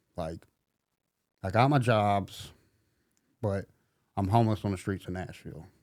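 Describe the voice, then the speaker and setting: The voice has a dark, mellow tone and a Southern US accent. Its pace is moderate. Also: man. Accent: Southern US country. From US South, middle Tennessee. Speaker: recovering addict sharing his story. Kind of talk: testimony.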